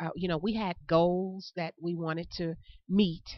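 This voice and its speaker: With a Tennessee accent, a woman speaks at a moderate pace. Her voice sits at a fairly low pitch. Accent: Southern US (Tennessee). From US South. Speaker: chamber of commerce education director. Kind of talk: interview. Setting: on location.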